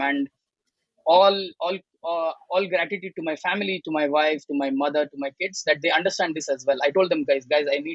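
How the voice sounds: A man speaks at a fairly quick pace with a fairly high pitch, fairly even intonation and a fairly bright tone, in a dry, close sound with no echo.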